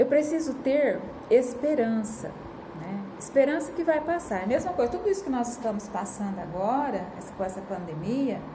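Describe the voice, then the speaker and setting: A woman with a high pitch and very wide pitch swings at a moderate pace, heard through audible room echo and noticeable background noise. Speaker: spiritist lecturer. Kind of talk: lecture. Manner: casual, with many fillers.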